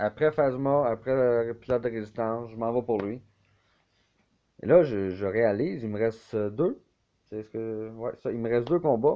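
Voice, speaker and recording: This man's voice sits at a medium pitch with ordinary variation. He speaks at a fairly slow pace. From Quebec. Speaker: video game YouTuber. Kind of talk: gameplay commentary. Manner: casual, hesitant with fillers.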